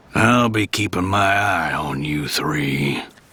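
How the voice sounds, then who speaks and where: Using a cartoonish character voice, a man growls at a very deep, low pitch, stern in tone, with lively intonation and a fairly slow pace. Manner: slow, stern drawl.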